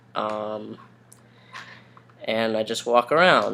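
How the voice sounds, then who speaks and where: A man is speaking. His pace is very slow. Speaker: vlogger. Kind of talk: casual vlog. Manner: hesitant, many ums.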